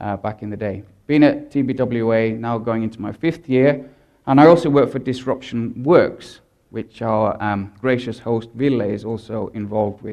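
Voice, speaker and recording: The man's pitch varies in an ordinary way. He talks with a British accent. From Britain. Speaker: advertising strategist. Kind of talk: conference talk.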